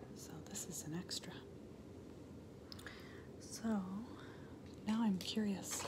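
Whispering in a gentle tone, a woman goes at a very slow pace with long, frequent pauses. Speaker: ASMR creator. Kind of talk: ASMR roleplay, friendly chat with viewers. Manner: soft-spoken, gentle. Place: home room. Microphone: phone near.

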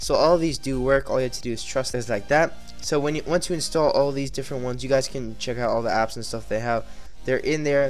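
Speech at a very fast pace plays over music in the background. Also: man. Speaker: tech YouTuber. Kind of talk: screen-recorded tech tutorial. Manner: monotone.

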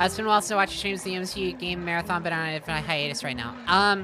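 Through clear background noise, a woman mumbles very fast in a put-on character voice, fairly low in pitch with ordinary pitch variation. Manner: mumbling.

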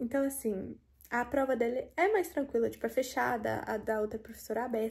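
A woman's high-pitched voice with a dark, mellow tone against a quiet background. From Brazil. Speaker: medical student vlogger. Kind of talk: casual vlog narration. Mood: relaxed, chatty. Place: home room. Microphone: phone near.

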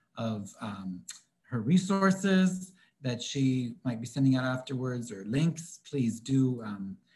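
A somewhat breathy man's voice at medium pitch, fairly slow, with lively intonation. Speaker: event host. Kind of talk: event hosting.

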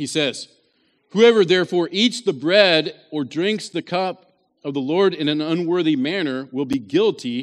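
A man speaks at a moderate pace with an American accent and lively intonation, his pitch fairly high. The background is quiet. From West Virginia. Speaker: pastor. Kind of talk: sermon.

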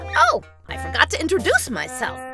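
A cartoonish character voice comes through with faint music in the background. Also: female-sounding voice. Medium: puppet. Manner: upbeat, excited.

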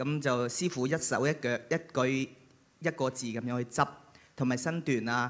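A man talks at a medium pitch and a moderate pace. His intonation stays fairly even, and he takes long, frequent pauses. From Leizhou, western Guangdong; Guangdong. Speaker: Cantonese opera performer. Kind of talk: short tribute speech. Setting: stage with audience. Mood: warm, grateful. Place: stage. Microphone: handheld.

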